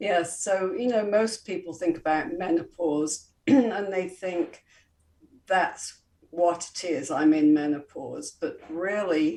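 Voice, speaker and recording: With an English accent, a woman speaks in a dark, mellow tone. Her pace is very slow, and her pitch varies in an ordinary way. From England, Coventry. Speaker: holistic health and wellness expert. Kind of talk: interview.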